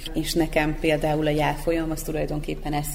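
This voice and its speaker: A woman's speech carries audible room echo, with noticeable background noise behind it. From Vojvodina, Serbia. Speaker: literary magazine editor-in-chief. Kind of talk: radio panel discussion.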